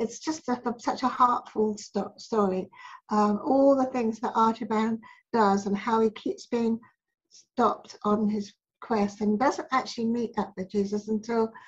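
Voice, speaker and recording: A woman with a somewhat breathy, fairly high voice talks at a fairly slow pace with fairly even intonation. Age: 70s. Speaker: spiritual healer and author. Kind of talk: interview answer.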